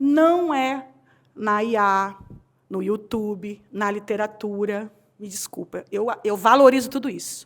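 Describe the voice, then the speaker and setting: This is a very clean recording with a silent background. A woman talks in a fairly high pitch with ordinary pitch variation. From Rio de Janeiro, Brazil. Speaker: HR consultant and speaker. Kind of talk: conference talk. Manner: animated.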